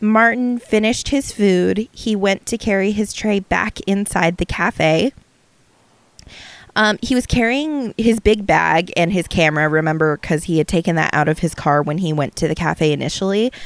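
A woman's medium-pitched voice with lively intonation, at a moderate pace, in a dry, close sound with no echo. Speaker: podcast host. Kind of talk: casual conversational storytelling. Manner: dry, matter-of-fact.

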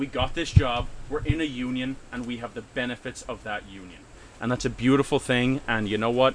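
Speaking fairly quickly in a normal speaking voice, a man at medium pitch keeps his intonation fairly even while his loudness swings widely. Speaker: union worker. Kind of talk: casual chat.

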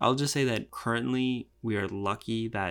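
This man speaks with an American accent and a plain, everyday voice. His pitch is medium, with ordinary pitch variation. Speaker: podcast co-host. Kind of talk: casual chat.

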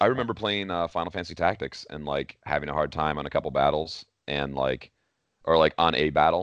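A man with a very deep, low pitch and vocal fry talks at a fairly quick pace with ordinary pitch variation. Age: 30s. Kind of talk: casual chat.

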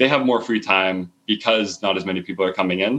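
A man with a Canadian accent has a plain, everyday voice at a fairly low pitch. He talks at a moderate pace with fairly even intonation. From Canada, moved often as a child. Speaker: startup co-founder and CTO. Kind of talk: interview. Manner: casual, with fillers and repetitions.

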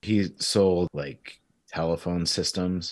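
In a very clean recording with a silent background, a man talks at a very slow pace with a Michigan accent. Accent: Midwestern American (Michigan). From Michigan (Clarkston, Detroit area). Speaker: veterinarian. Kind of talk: casual chat.

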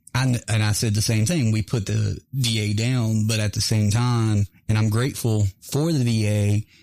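A man with an American accent speaks in a dark, mellow tone with ordinary pitch variation, recorded very cleanly against a silent background. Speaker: veteran radio host. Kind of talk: casual chat. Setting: studio.

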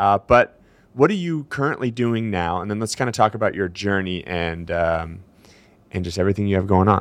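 Very fast male speech with an American accent, very deep low pitch and ordinary pitch variation, over a quiet background. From Seattle, US. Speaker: podcast host. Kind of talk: casual interview chat.

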